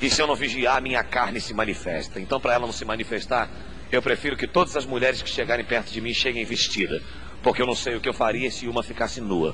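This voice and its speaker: Over noticeable background noise and audible room echo, a man with a medium-pitched voice talks at a very fast pace with ordinary pitch variation. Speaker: pastor. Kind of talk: sermon. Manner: animated.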